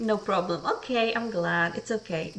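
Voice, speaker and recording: A quiet woman's voice at a moderate pace, with noticeable background noise. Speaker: vtuber streamer. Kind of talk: casual let's-play stream commentary. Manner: monotone. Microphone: a bit quiet even in the red.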